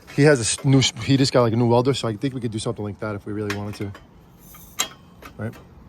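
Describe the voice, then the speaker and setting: Talking at a very fast pace, a man with a medium pitch shows big swings in loudness. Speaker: Halloween decor vlogger. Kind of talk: casual vlog chat. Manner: animated.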